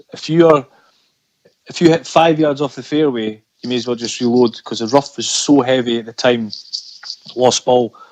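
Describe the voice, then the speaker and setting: Speaking in a Scottish accent at a moderate pace and medium pitch, a man keeps fairly even intonation while his loudness swings widely and he takes long, frequent pauses. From Scotland. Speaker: amateur golfer. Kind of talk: podcast interview answer.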